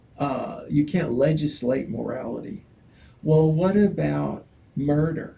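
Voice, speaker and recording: Very slow male speech, with noticeable noise behind it and audible room echo. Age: 70s. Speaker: political candidate. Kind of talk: interview. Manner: halting.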